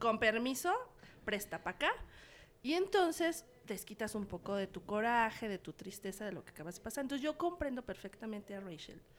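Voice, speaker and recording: A woman speaks in a plain, everyday voice, fairly high in pitch, at a moderate pace with big swings in loudness. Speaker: cultural journalist. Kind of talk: casual chat. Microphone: too far from the mic.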